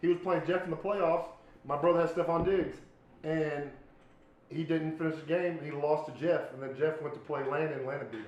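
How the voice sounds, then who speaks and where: Loudness swings widely as a man with a fairly high pitch talks at a fairly quick pace amid noticeable background noise and audible room echo. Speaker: podcast host. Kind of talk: casual chat. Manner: animated.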